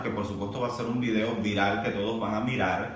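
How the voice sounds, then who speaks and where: A man's words ring with audible room echo. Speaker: vlogger. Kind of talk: casual vlog commentary. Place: home room. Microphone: camera far.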